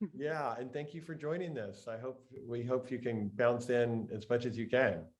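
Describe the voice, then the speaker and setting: Speaking at a moderate pace with an American accent, this is an unremarkable speaking voice with ordinary pitch variation. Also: man, medium pitch for a man. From Texas, Lubbock. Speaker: meditation teacher and host. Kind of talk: casual chat. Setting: video call.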